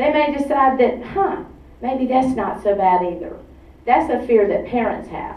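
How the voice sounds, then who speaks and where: Someone talks at a moderate pace, with audible room echo. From Atlanta, Georgia. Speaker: activist group director. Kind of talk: public talk. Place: hall.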